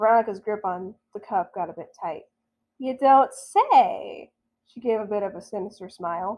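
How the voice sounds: Against a quiet background, the reading voice sounds natural.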